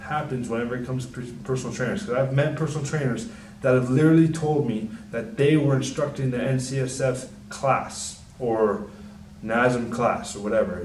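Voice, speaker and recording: Noticeable background noise and audible room echo accompany the man as he talks. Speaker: personal trainer. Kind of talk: casual talk to camera. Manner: soft-spoken; mumbling.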